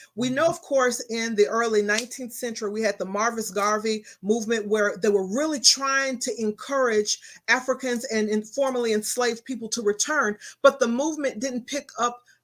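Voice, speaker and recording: A woman's fairly high voice with ordinary pitch variation, on a very clean recording with a silent background. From Texas. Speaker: talk show host. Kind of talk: interview. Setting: studio.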